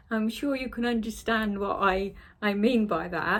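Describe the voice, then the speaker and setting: With a Cornish accent, a woman speaks at a fairly high pitch on a very clean recording with a silent background. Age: 60s. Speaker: sewing vlogger. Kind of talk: casual vlog chat. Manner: chatty, hesitant with fillers.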